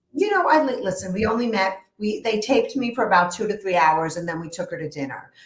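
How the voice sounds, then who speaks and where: Speaking very fast with hardly any pauses, a woman with a Brooklyn accent uses lively intonation. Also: medium pitch for a woman. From New York, Brooklyn. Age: 50s. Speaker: therapist. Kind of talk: interview.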